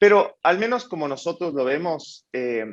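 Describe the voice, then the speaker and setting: Lively intonation runs through this man's speech. He has an Ecuadorian accent and a fairly slow pace. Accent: Ecuadorian, people ask about it. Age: 20s. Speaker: startup founder and CEO. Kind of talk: panel interview.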